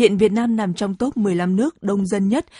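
A woman's somewhat breathy, dark and mellow voice with ordinary pitch variation, dry and close with no echo. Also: quiet background. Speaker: radio news anchor. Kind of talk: news reading. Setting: studio. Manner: formal.

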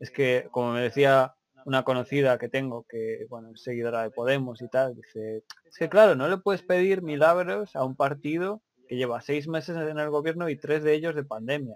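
A man with a plain, everyday voice talks at a moderate pace in a fairly high pitch, his loudness swinging widely in a dry, close sound with no echo. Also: ordinary pitch variation. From Spain. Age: 30s. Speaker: podcast host. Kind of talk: casual chat.

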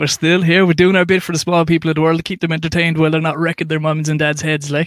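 A man talks very fast at a fairly high pitch. His intonation stays monotone and flat. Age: 30s. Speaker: podcast host. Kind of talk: casual chat. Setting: home attic.

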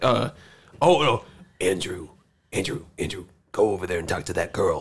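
This man puts on a character voice at a moderate pace, pitched in the middle range for a man. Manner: cartoon-like impression.

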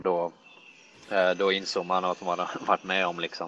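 A man at a moderate pace, very deep and low in pitch, with monotone, flat intonation and a dry, close sound with no echo. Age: 20s. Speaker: professional golfer. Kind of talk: casual interview chat.

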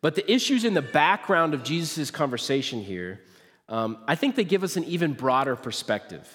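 A man's fairly high-pitched voice with vocal fry and an American accent, with very wide pitch swings and a fairly quick pace. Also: very clean recording, silent background. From central Nebraska (US Midwest). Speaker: pastor. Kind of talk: sermon. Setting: church stage.

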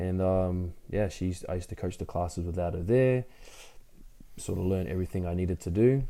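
Speaking at a fairly quick pace with an Australian accent, a man has a fairly low pitch, a dark, mellow tone and ordinary pitch variation on a very clean recording with a silent background. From Brisbane, Australia. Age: 30s. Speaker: CrossFit athlete and gym owner. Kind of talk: casual interview.

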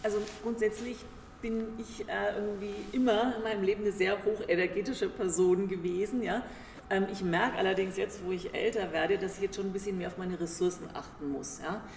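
Noticeable background noise surrounds a woman talking fairly quickly in a medium pitch, her intonation fairly even. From Germany, Nuremberg (Franconia). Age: 50s. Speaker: business executive. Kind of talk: interview.

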